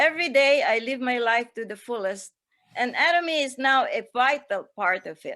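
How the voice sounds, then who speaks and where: A woman speaks in a raised, projected voice with a high pitch and a bright, sharp tone, her intonation lively at a moderate pace. Her loudness swings widely in a very clean recording with a silent background. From Philippines. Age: 80s+. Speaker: direct sales distributor. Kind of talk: seminar speech. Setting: seminar stage. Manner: formal.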